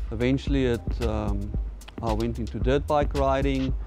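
A man with a very deep, low pitch and ordinary pitch variation speaks over clear background music in a dry sound with no echo. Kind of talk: interview answer. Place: workshop.

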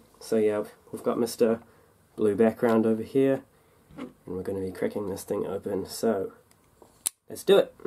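The speaker has a New Zealand accent and a moderate pace, with long, frequent pauses. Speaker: diecast toy collector YouTuber. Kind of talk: casual unboxing video. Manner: casual, chatty.

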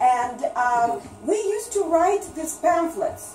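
With a Russian accent, a woman speaks in very wide pitch swings amid light background noise and audible room echo. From Russia, Leningrad. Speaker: writer and seminar presenter; presenter. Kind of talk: lecture. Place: shop. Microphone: camera far.

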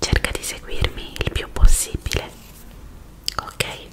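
A woman whispering at a very slow pace. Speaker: ASMR creator. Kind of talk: ASMR roleplay, attention test. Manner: soft, whispery, intimate.

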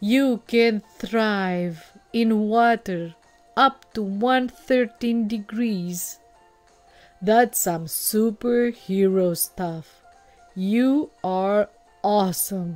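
A woman's put-on character voice at medium pitch, very slow pace, faint music in the background. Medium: read story. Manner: proud, then warm and enthusiastic.

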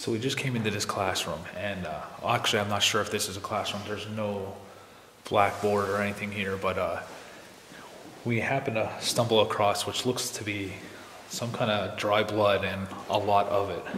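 Over light background noise and audible room echo, a man with a fairly low pitch talks at a moderate pace in a monotone, flat way. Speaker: urban explorer vlogger. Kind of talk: casual vlog chat. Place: hall. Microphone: phone near.

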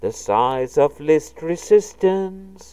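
Her delivery is very slow. This woman's tone is dark and mellow. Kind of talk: poem performed. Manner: impassioned, pleading; wistful, intimate, lyrical.

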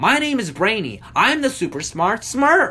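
In a put-on character voice, a man speaks at a moderate pace with an extremely high pitch and very wide pitch swings. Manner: hoity-toity, snooty.

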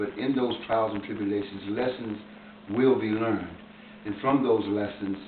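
There is light background noise and audible room echo. A man speaks at a moderate pace with a fairly low pitch and fairly even intonation. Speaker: formerly incarcerated man. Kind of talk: interview answer. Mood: earnest, encouraging. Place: home room. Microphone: camera far.

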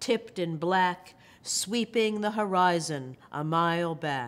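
A woman talks at a very slow pace. Her pitch varies in an ordinary way. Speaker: poet and professor. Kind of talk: poetry reading with brief intro. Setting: video recording. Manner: measured, expressive, reflective. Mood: calm, measured, tender. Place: hall.

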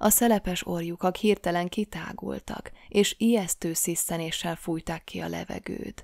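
The sound is dry and close, with no echo. A woman speaks at a very slow pace. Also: very clean recording, silent background. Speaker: audiobook narrator. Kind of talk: reading aloud.

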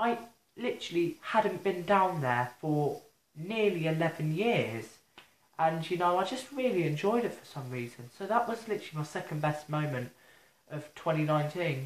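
With an English accent, the words arrive at a moderate pace. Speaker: vlogger. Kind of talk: casual vlog monologue. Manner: halting.

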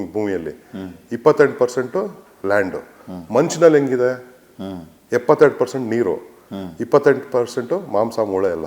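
Using lively intonation, a man with an ordinary speaking voice talks at a medium pitch. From India, Bangalore (born in Mandya). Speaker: organic farmer and former election candidate. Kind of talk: interview.

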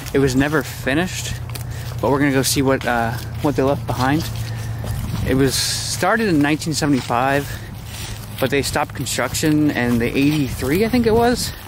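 Long, frequent pauses break up speech at a moderate pace with ordinary pitch variation, the sound dry with no echo and noticeable background noise. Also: man. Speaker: explorer vlogger. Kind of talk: casual vlog chat. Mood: excited, amazed. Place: open country. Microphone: phone near.

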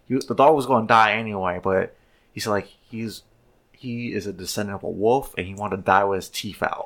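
A man talks at a fairly quick pace in a normal speaking voice, his pitch fairly low and his intonation fairly even, with big swings in loudness. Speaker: podcast host, former police officer. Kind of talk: casual chat.

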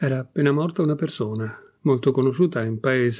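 Plain reading aloud comes through, with pitch that rises and falls in an ordinary way.

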